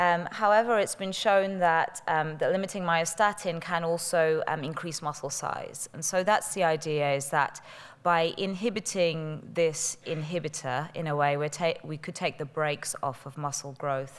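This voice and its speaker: In a British accent, a woman with a fairly low pitch talks at a moderate pace with hardly any pauses. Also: ordinary pitch variation. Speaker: pharmaceutical company representative. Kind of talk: conference presentation. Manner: hesitant, many fillers.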